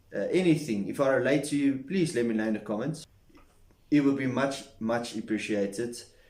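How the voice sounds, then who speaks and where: A man's voice is heard with audible room echo. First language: not English. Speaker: self-improvement vlogger. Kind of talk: casual talking-head monologue. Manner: halting.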